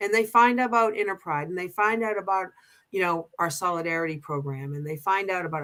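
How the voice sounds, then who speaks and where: Very fast and fairly low-pitched, a woman speaks in a Boston accent with a bright, sharp tone and ordinary pitch variation. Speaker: pride organization co-president. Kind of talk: casual chat. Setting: livestream show. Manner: halting, many restarts.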